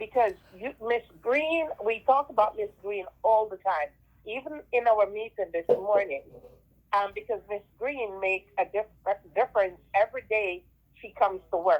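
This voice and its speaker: A woman with a Jamaican accent, fairly high pitch, ordinary pitch variation, moderate pace and big swings in loudness. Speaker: school teacher. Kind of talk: class talk over video call. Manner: halting, many fillers.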